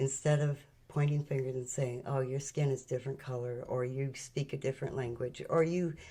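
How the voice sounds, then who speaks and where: A woman speaks at a moderate pace in a very deep, low pitch, somewhat breathy, with a dark, mellow tone. Her intonation is monotone and flat. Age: 70s. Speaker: spiritual channel host. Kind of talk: spiritual talk.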